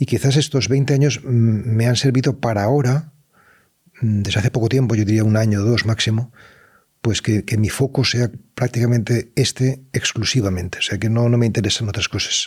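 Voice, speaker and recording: A man speaks at a fairly quick pace with a somewhat breathy voice. His loudness stays very even and his intonation fairly even. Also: medium pitch for a man. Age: 60s. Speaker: writer and meditation teacher. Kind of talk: interview. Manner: halting; reflective.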